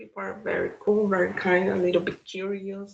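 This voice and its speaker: This woman has a Brazilian Portuguese accent. She talks at a moderate pace. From Brazil, São Paulo. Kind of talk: interview.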